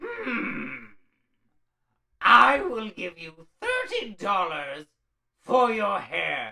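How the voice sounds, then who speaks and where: In a put-on character voice with fairly high pitch, the speaker goes at a very slow pace with long, frequent pauses. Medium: read story.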